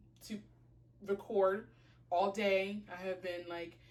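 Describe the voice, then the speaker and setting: Amid audible room echo, a woman speaks fairly slowly at a medium pitch in a monotone, flat intonation. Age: 20s. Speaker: fashion and lifestyle blogger. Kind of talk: casual vlog chat. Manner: casual, filler-heavy.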